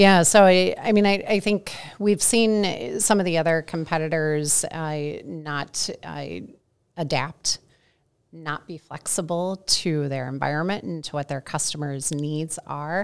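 A woman's very deep, low voice with a US Midwestern accent, fairly slow, with ordinary pitch variation and big swings in loudness, on a very clean recording with a silent background. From US Midwest, St. Louis. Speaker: customer experience research director. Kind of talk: interview.

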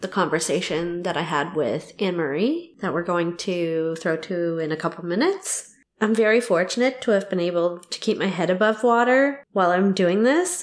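With ordinary pitch variation, an unremarkable speaking voice goes along at a moderate speed. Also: woman, hardly any pauses. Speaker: podcast host. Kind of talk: casual interview chat.

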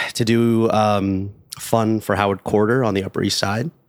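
A man with an American accent speaks at a fairly low pitch and a fairly slow pace. The recording is very clean, with a silent background. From Los Angeles, California. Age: 30s. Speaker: actor and voiceover artist. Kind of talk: casual chat. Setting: in-person in a living room.

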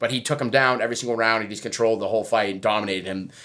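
A man speaks at a medium pitch with a bright, sharp tone and an American accent. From Massachusetts (Braintree area). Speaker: podcast co-host. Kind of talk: casual chat.

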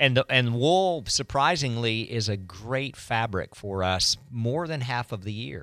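A plain, everyday voice from a man at medium pitch, fairly slow and with hardly any pauses, lively in intonation, on a very clean recording with a silent background. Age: 50s. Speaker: running store owner. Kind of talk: radio interview.

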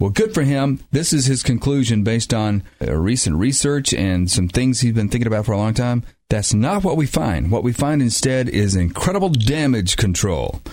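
A man with an unremarkable speaking voice and a medium pitch uses lively intonation, keeping very even loudness with hardly any pauses. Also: moderate pace. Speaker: radio announcer. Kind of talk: scripted announcement.

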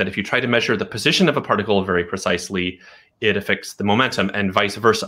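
Very fast and bright with a sharp edge, a man with an American accent speaks at a fairly low pitch in a very clean recording with a silent background. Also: ordinary pitch variation. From US West Coast, Portland, Oregon. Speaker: quantum computing scientist. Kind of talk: interview.

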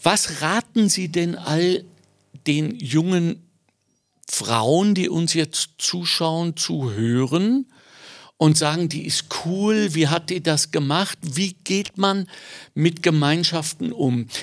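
The speech moves at a very slow pace with long, frequent pauses and ordinary pitch variation, captured in a very clean recording with a silent background. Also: man, high pitch for a man. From Germany. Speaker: podcast host. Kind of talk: interview.

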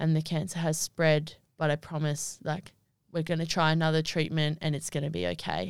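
In an Australian accent, a woman speaks at a very deep, low pitch. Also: very clean recording, silent background. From Australia, Wagga Wagga NSW. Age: 20s. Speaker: netball player. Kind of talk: casual chat. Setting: studio.

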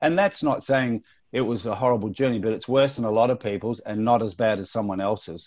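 An Australian accent marks this man's speech at a medium pitch and a fairly quick pace. His pitch variation is ordinary, and the background is quiet. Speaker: actor. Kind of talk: interview. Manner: casual.

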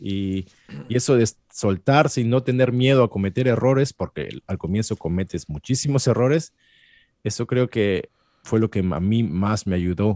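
A man speaks at a medium pitch with a dark, mellow tone and ordinary pitch variation, recorded dry and close with no echo on a very clean track with a silent background. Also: moderate pace. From Peru. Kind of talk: interview. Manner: halting.

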